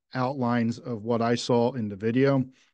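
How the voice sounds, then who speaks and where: A man with an American accent speaks at a fairly slow pace in a medium pitch and a monotone, flat intonation. The sound is dry with no echo, against a quiet background. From United States. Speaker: reading group host. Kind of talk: group discussion. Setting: video call. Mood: thoughtful, engaged. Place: home room. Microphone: video call.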